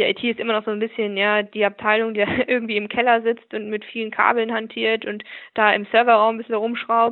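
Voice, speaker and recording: Fairly high in pitch, a woman speaks at a fairly quick pace. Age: 20s. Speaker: business process manager. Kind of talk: interview. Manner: hesitant with fillers.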